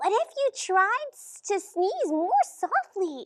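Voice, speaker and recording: A woman uses a put-on character voice, squeaky and extremely high-pitched. She speaks very slowly. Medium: read story. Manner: bright, friendly.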